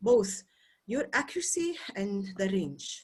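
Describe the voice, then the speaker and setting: Very wide swings in pitch and a somewhat breathy quality. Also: woman. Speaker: English teacher. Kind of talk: lecture.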